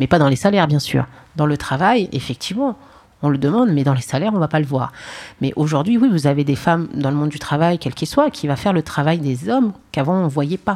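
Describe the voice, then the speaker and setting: A woman talks at a very fast pace in a very deep, low voice with lively intonation. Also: very clean recording, silent background. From Paris, France. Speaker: trade union delegate, retail worker. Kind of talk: panel discussion. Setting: stage with audience.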